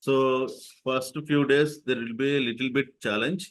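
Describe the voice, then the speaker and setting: A man with an ordinary speaking voice, medium in pitch, at a moderate pace against a quiet background. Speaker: software trainer. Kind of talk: live online training tutorial.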